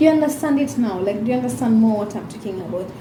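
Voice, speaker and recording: A woman with a fairly high voice speaks in a room with audible echo and noticeable background noise. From Kenya. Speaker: YouTuber. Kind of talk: casual vlog monologue. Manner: animated.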